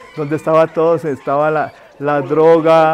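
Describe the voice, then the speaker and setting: Music plays in the background as a man talks at a fairly slow pace. His voice is high-pitched. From Colombia, Cali. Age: 60s. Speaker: painter. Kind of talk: interview. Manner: halting.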